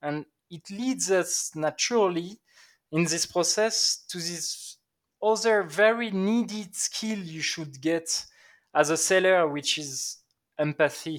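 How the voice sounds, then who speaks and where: On a very clean recording with a silent background, a man with a French accent and a high pitch speaks very slowly, with ordinary pitch variation and big swings in loudness. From southern France, Aix-en-Provence. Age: 20s. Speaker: sales enablement lead. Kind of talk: interview.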